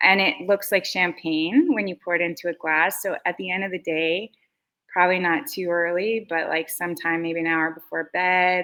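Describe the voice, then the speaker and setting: At a moderate pace, a woman speaks in a normal speaking voice, fairly low in pitch, with ordinary pitch variation. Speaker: beverage company founder and CEO. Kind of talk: casual interview chat.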